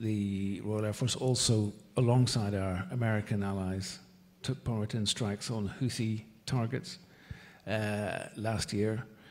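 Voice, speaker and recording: A man with a Northern Irish accent speaks with fairly even intonation. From Northern Ireland. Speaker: ambassador. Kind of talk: panel discussion. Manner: halting.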